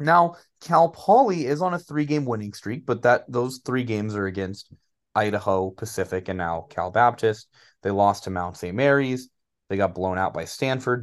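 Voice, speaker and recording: Against a quiet background, a man with an American accent speaks in an unremarkable speaking voice, with lively intonation at a moderate pace. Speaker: sports podcast co-host and school teacher. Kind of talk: casual sports chat.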